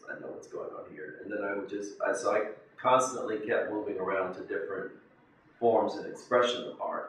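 Amid audible room echo and light background noise, a man with an American accent talks at a fairly quick pace with big swings in loudness. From South Carolina, USA. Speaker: painter. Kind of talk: interview answer. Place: home room.

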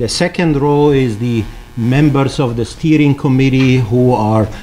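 Against light background noise, a man talks at a fairly slow pace with ordinary pitch variation. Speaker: conference host. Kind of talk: opening welcome speech. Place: hall. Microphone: podium.

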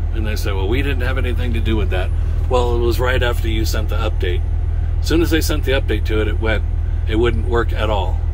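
A man talks at a very fast pace in an extremely high pitch, with noticeable background noise. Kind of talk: casual vlog chat. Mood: frustrated about faulty GPS. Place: car. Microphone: phone near.

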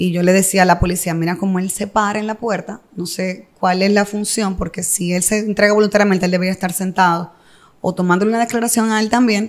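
Speaking very fast in a Dominican accent, a woman keeps a medium pitch and a flat, monotone intonation. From Dominican Republic, Santo Domingo. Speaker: entrepreneur and mother in a divorce dispute. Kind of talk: interview testimony.

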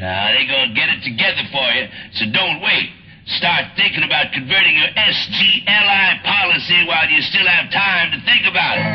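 The speech moves at a fairly quick pace over light background noise. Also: man. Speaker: radio disc jockey. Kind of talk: military radio public service announcement read. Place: studio.

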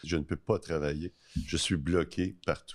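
Very deep and low in pitch, a man speaks at a fairly slow pace against a quiet background. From Quebec. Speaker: podcast host. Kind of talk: casual interview. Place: studio. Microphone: studio mic.

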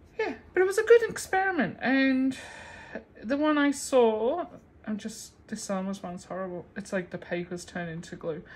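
Somewhat breathy and fairly high, a woman's voice moves through very wide pitch swings and big swings in loudness. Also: moderate pace. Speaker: craft video creator. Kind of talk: casual tutorial. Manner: laughing often. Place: home room. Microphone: phone near.

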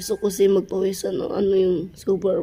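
A woman's moderate pace against noticeable background noise. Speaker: vlogger. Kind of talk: casual vlog talk.

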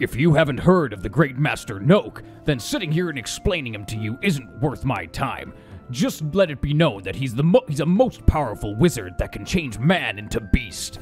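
Using a put-on character voice, a man speaks in a medium pitch at a moderate pace. Music is clearly audible in the background. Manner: menacing but mock-polite.

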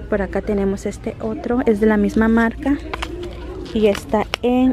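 Against crowd noise in the background, a woman speaks at a fairly slow pace with ordinary pitch variation and a dry sound with no echo. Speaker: shopping vlogger. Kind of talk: casual vlog chat. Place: shop. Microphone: phone near.

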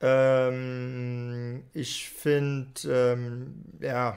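This man's voice is clear and smooth in tone, slightly mellow.

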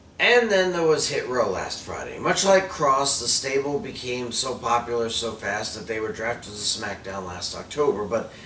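A man talks at a moderate pace with hardly any pauses. Light background noise and audible room echo surround him. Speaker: wrestling commentator vlogger. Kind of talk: commentary. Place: home room.

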